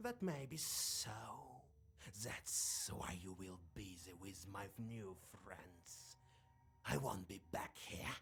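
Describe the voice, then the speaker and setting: A put-on character voice, low-pitched, talks at a very slow pace with long, frequent pauses. Background noise is clearly audible. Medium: video game. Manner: scornful, mocking.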